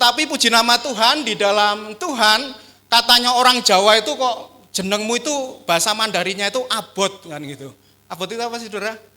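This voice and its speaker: In a raised, projected voice, a man with a strong Javanese accent speaks at a fairly quick pace, his high pitch carrying a bright, sharp tone, ordinary pitch variation and big swings in loudness. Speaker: pastor. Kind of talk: sermon. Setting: church.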